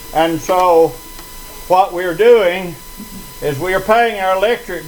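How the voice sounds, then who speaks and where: A high-pitched male voice at a very slow pace, with ordinary pitch variation and noticeable background noise. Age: 80s+. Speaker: resident speaking at a town hall. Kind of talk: public meeting speech. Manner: halting, many fillers.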